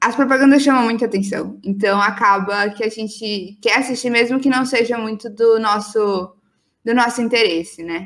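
A woman with a fairly high voice talks at a moderate pace in an unremarkable speaking voice with ordinary pitch variation. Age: 20s. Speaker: podcast co-host, museum worker. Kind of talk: casual chat.

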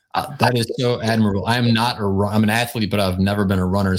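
A man's plain, everyday voice, fairly low-pitched and fairly quick, with fairly even intonation on a very clean recording with a silent background. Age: 50s. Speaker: best-selling author. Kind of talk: casual chat.

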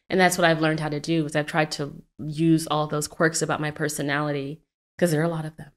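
With an American accent, a woman talks at a very fast pace in a very deep, low pitch, her intonation monotone and flat but her loudness swinging widely, on a very clean recording with a silent background. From Arizona. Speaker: entrepreneur. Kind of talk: interview.

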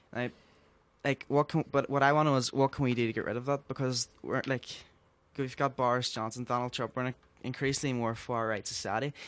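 A man with a Belfast accent speaks at a medium pitch with monotone, flat intonation. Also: dry, close sound with no echo, very clean recording, silent background. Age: young. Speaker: young environmentalist. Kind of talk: casual discussion. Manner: halting.

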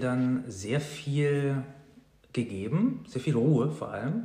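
This man's tone is dark, mellow and somewhat breathy. He talks at a very slow pace. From Saxony-Anhalt, eastern Germany (Weißenfels near Leipzig). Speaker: teacher and mindfulness coach. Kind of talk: casual interview. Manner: hesitant, many filler sounds.

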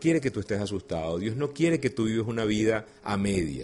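Over background music, the speaker talks with lively intonation. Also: man. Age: 50s. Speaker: life coach. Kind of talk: motivational talk. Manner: conversational, frequent fillers.

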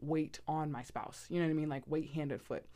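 A very deep, low-pitched female voice in an American accent. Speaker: podcast host. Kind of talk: casual monologue. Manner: loud; assertive.

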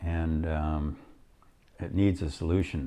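A man speaks at a very deep, low pitch in a dark, mellow tone, his intonation fairly even. The recording is very clean, with a silent background. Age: old. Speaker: podcast co-host, grandfather. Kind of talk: casual chat. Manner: halting.

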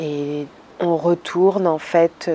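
Flat, monotone intonation from a woman amid clear background noise. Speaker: YouTuber, relaxation content creator. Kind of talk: casual vlog monologue. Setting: outdoors in a garden. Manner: hesitant, many fillers.

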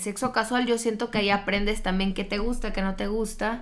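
A woman speaks in an ordinary speaking voice, her pitch fairly high. Her intonation is fairly even. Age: 20s. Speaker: medical student. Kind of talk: casual chat.

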